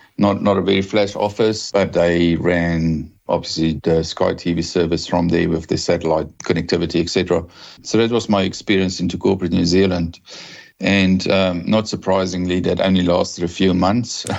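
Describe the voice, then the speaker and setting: A man with a South African accent, very deep and low in pitch, monotone and flat, at a moderate pace and very even loudness. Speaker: telecom executive. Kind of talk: podcast interview.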